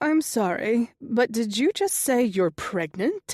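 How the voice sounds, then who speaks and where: Putting on a character voice, a woman speaks at a fairly slow pace with a high pitch. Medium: read story.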